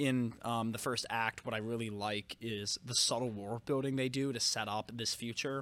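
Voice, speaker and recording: A man's medium-pitched, bright, sharp voice at a moderate pace, fairly even in intonation, on a very clean recording with a silent background. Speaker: podcast co-host and film reviewer. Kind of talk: casual film discussion podcast.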